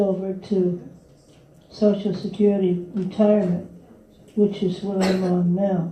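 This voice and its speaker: A woman with a medium pitch and a dark, mellow tone talks at a very slow pace in a flat monotone, somewhat breathy, with audible room echo. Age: 60s. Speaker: retiree and workshop attendee. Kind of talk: audience question.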